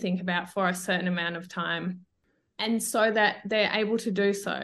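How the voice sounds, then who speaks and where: In an Australian accent, a woman talks at a moderate pace with a medium pitch. Her pitch variation is ordinary, and the background is quiet. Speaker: feminism educator. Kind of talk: casual interview.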